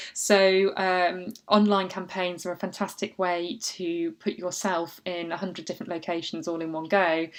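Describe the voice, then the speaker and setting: With an unremarkable speaking voice, a woman talks at a medium pitch and moderate pace with fairly even intonation. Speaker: book marketing consultant. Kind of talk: tutorial.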